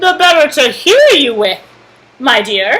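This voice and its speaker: A fairly slow delivery comes in a put-on character voice. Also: woman, high pitch for a woman. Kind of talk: bedtime story. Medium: read story. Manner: sly and falsely sweet.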